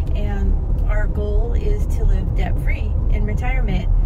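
The voice moves at a fairly slow pace, the sound dry with no echo, over loud background noise. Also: woman. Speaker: delivery driver vlogger. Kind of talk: casual vlog chat. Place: car. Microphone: phone near.

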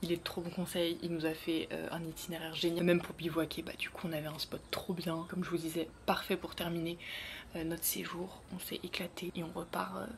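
A soft-spoken woman is whispering at a fairly quick pace against noticeable background noise. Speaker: beauty and travel vlogger; travel vlogger. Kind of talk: casual vlog. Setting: indoors in a rented room. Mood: relaxed, a bit nostalgic. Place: home room. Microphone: phone near.

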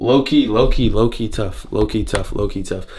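This man speaks at a fairly quick pace. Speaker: vlogger. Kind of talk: casual vlog chat. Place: bathroom. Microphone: phone near.

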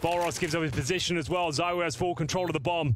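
A man with a high pitch talks at a fairly quick pace in an animated, dramatic tone over noticeable background noise. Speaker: esports caster. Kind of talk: sports commentary. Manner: animated, fast-paced play-by-play with dramatic, excitable delivery.

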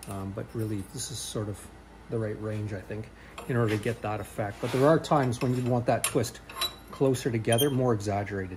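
A man talks at a fairly quick pace with fairly even intonation. Noticeable background noise runs underneath. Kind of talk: thinking-aloud tutorial narration. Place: workshop. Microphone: phone near.

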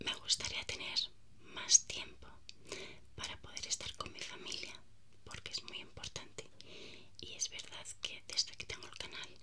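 A soft-spoken woman whispers at a fairly slow pace, leaving long, frequent pauses. Her loudness swings widely over noticeable background noise. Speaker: vlogger. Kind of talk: casual vlog chat. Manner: soft close-mic whisper. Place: home room. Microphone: earbuds.

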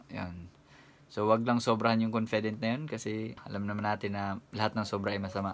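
A man's fairly low pitch at a moderate pace. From Philippines. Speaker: YouTuber and overseas worker; vlogger giving job tips. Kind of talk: vlog tutorial. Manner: casual with frequent hesitations. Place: home room. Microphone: phone near.

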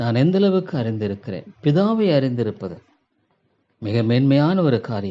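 A man's medium-pitched voice, dark and mellow in tone, with very wide pitch swings. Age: 70s. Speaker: pastor. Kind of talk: sermon.

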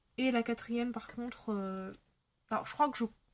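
Her pitch is high for a woman. The woman's intonation stays fairly even. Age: 20s. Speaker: YouTuber, adult colouring channel; YouTuber. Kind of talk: casual chat to camera while colouring. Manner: hesitant, many fillers. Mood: relaxed, chatty. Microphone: phone near.

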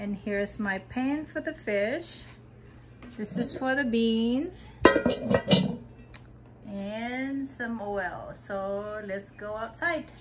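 Music plays behind a woman who talks at a very slow pace with long, frequent pauses and ordinary pitch variation. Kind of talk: casual vlog chat. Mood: cheerful, playful. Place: kitchen. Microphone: phone near.

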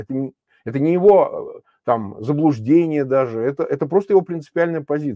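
A man speaks at a fairly quick pace with a fairly high pitch and lively intonation, the sound dry with no echo over a quiet background. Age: 50s. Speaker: opposition politician and political commentator; opposition politician, political commentator. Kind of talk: live stream political discussion. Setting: remote link while traveling. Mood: serious, analytical. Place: home room. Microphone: lapel.

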